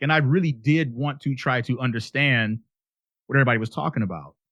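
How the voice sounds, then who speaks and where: Against a quiet background, a man speaks at a fairly quick pace with ordinary pitch variation in a dry, close sound with no echo. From Chicago, US Midwest. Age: 50s. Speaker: interview guest, former metal musician. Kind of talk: casual interview chat. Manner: talkative.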